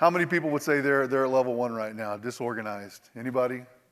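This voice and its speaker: A man with an Oklahoma accent talks at a medium pitch. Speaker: industry presenter. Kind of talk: conference presentation. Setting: stage with audience. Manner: animated, repetitive stammering.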